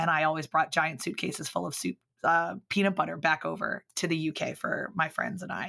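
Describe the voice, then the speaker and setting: Dry and close with no echo on a very clean recording with a silent background, a woman with an American accent speaks at a very deep, low pitch in a bright, sharp tone with vocal fry and fairly even intonation. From US Mid-Atlantic (Baltimore and Philadelphia suburbs). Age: 30s. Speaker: public speaker and business owner. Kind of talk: casual interview chat.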